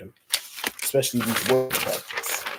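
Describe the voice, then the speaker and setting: A man talks fairly quickly as noticeable background noise carries on. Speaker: vlogger. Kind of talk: casual vlog monologue. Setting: indoors, fan turned off.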